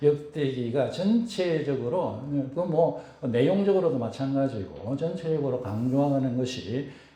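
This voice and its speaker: A man talks at a medium pitch with lively intonation. Noticeable background noise and audible room echo surround him. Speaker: pastor. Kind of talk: sermon. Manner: halting, many fillers.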